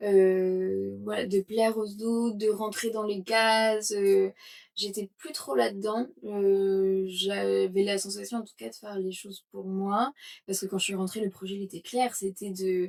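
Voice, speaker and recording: A woman's medium-pitched voice, fairly slow, with big swings in loudness. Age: 20s. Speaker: yoga teacher and entrepreneur. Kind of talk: interview testimony. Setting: podcast interview. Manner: hesitant, many fillers.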